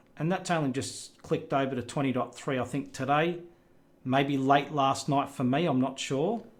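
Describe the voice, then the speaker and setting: With an Australian accent, a man talks at a moderate pace in a fairly high pitch with ordinary pitch variation. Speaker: tech youtuber. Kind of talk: screen recording tutorial. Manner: casual, hesitant with fillers.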